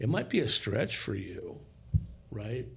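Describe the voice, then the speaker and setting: Somewhat breathy, fairly slow speech from a man, with audible room echo. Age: 60s. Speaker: podcast guest. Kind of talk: casual discussion.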